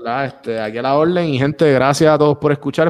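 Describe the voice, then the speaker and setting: Speaking at a fairly quick pace, a man talks with a Puerto Rican accent. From Puerto Rico, San Juan area. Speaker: podcaster and podcast coach. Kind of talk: casual interview chat.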